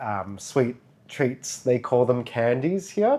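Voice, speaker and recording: A man's dark, mellow voice at a medium pitch. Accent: strong Australian. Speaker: vlogger. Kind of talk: casual chat.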